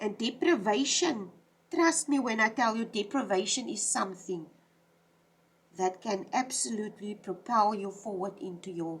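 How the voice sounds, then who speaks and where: A somewhat breathy, fairly high woman's voice at a moderate pace, with lively intonation. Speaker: tarot reader. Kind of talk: tarot reading monologue. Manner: halting.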